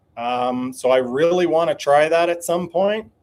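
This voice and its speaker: At a fairly slow pace, a man with a normal speaking voice talks fairly high in pitch with lively intonation. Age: 40s. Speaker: DIY bus dweller, YouTuber live streaming. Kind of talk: live stream chat reading viewer comments. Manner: casual, conversational.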